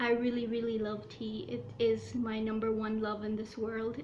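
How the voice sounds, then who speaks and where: A woman talks at a moderate pace in a monotone, flat delivery, with noticeable background noise. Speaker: YouTuber. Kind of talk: casual talk to camera.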